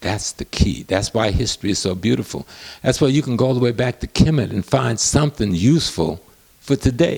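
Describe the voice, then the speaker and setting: A man talks at a fairly quick pace with lively intonation and vocal fry, recorded with a dry, close sound and no echo. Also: medium pitch for a man. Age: 70s. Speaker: professor and historian. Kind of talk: interview.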